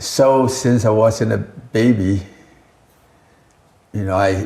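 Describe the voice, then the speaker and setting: Very slowly, a man speaks in a dark, mellow, somewhat breathy tone with fairly even intonation. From Taiwan. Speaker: company founder and herbal scientist. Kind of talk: interview.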